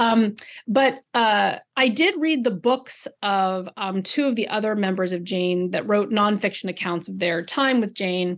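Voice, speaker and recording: Against a quiet background, a woman with an unremarkable speaking voice talks fairly slowly at a medium pitch, with ordinary pitch variation and hardly any pauses. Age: 40s. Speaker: novelist. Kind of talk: interview. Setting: video call.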